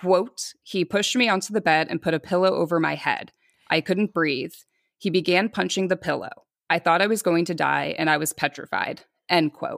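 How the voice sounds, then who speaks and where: A woman with a fairly low, fry-tinged voice and ordinary pitch variation talks at a moderate pace in a very clean, dry, close recording with a silent background and no echo. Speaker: podcast host telling a true-crime story. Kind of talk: casual chat with storytelling.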